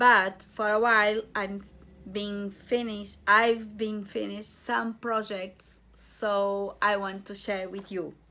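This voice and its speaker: A woman speaks very slowly in a bright, sharp tone. Her intonation is monotone and flat, but her loudness swings a lot. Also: medium pitch for a woman. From Portugal. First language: Portuguese. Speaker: crochet and knitting vlogger. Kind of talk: craft vlog, casual show and tell. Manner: halting.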